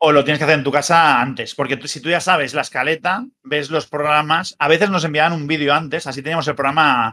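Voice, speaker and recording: A man speaks at a very fast pace with hardly any pauses, his fairly high pitch carrying a bright, sharp tone. His intonation stays fairly even against a quiet background. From Spain. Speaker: wrestling news site editor and former TV commentator; wrestling news site editor, former TV commentator. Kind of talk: casual chat. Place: home room. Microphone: webcam.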